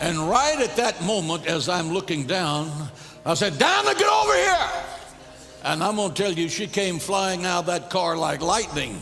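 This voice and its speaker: High-pitched male voice at a moderate pace, lively intonation, noticeable background noise behind it. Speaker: pastor preaching a sermon. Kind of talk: sermon.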